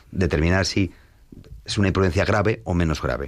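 An unremarkable speaking voice from a man, fairly quick pace, ordinary pitch variation, quiet background. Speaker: lawyer. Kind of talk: expert discussion.

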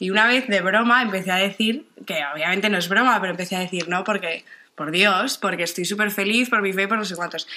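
A woman talks fairly quickly at medium pitch, her tone bright and sharp and her intonation fairly even. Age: 20s. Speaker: university student. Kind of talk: radio interview.

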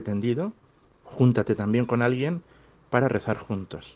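In a Castilian accent, a man talks at a moderate pace. His pitch is medium, with ordinary variation. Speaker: parish priest. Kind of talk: pastoral talk.

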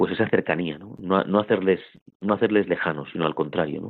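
At a moderate pace, a man talks in a very deep, low pitch. His pitch varies in an ordinary way. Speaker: priest. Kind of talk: interview. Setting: phone call.

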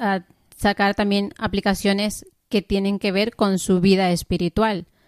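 A woman with an English accent at a fairly slow pace, fairly even intonation, and a dry, close sound with no echo. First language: English (speaking Spanish). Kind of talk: radio interview. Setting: studio.

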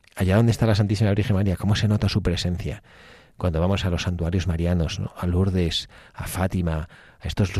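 Very deep and low, a man's voice moves at a fairly quick pace with a dark, mellow tone and monotone, flat intonation. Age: 50s. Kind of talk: radio talk on faith. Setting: radio studio.

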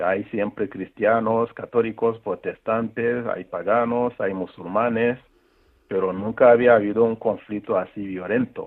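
Monotone and flat in intonation, a man speaks at a fairly slow pace in a medium pitch. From Rwanda, north of Kigali. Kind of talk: interview testimony.

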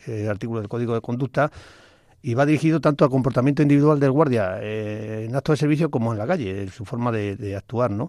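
On a very clean recording with a silent background, a man at medium pitch speaks at a very fast pace. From Spain (Badajoz and Toledo provinces). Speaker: retired Civil Guard officer. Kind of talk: radio interview. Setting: radio studio.

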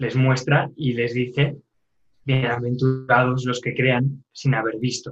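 Somewhat breathy, a man speaks at medium pitch. His pace is fairly slow. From Spain, Castellón. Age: young. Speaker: religious novice. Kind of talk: interview. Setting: phone call.

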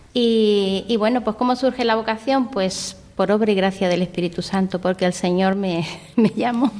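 A woman's normal speaking voice at medium pitch and moderate pace, with fairly even intonation and very even loudness. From Andalusia, Spain (Vélez-Málaga). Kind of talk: interview testimony.

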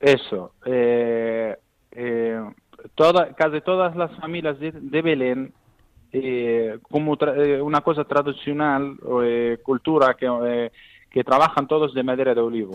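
A man at a very slow pace, medium in pitch, with ordinary pitch variation and long, frequent pauses. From Palestine, Bethlehem. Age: 20s. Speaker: Bethlehem native living abroad. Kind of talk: interview. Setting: phone call. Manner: halting.

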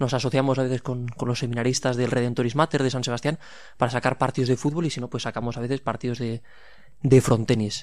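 Very fast and in monotone, flat intonation, a man talks at a medium pitch on a very clean recording with a silent background. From Pamplona, Navarre, Spain. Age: 20s. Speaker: seminarian. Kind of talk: radio interview.

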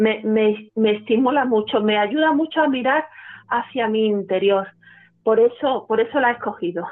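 Ordinary pitch variation at a moderate pace. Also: woman, fairly high pitch for a woman. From Spain, Málaga (Andalusia). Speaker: church charity coordinator. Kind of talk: testimony. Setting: phone call. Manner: halting.

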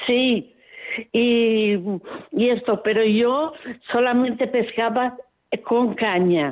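A woman's fairly high voice at a very slow pace, very even in loudness, with ordinary pitch variation and long, frequent pauses. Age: 80s+. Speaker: radio listener caller. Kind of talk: phone-in call. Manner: strong, vigorous voice.

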